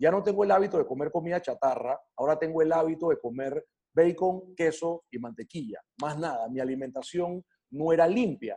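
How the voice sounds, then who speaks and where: A man's high-pitched, dark, mellow voice at a fairly quick pace with ordinary pitch variation. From Panama. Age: 40s. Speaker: wellness coach. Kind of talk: interview. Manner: hesitant, many fillers and repetitions.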